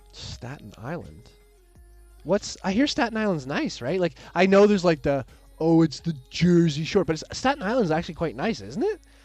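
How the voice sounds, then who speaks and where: A man with a Canadian accent speaks at a high pitch, with very wide pitch swings. He keeps a moderate pace while music plays in the background. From Canada. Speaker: maker and streamer. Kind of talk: live stream chat. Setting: live stream. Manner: rambling, casual.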